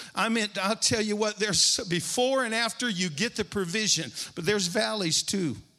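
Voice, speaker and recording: Raising and projecting his high, bright, sharp voice, a man speaks at a moderate pace with ordinary pitch variation. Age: 60s. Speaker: preacher. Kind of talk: sermon. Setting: church stage with congregation. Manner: animated.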